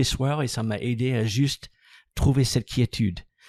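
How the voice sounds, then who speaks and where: On a very clean recording with a silent background and a dry, close sound with no echo, a man with an English accent speaks at a moderate pace and medium pitch in a dark, mellow tone with ordinary pitch variation. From United States. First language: English (speaking French). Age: 60s. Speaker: massage business founder and trainer. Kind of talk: podcast interview.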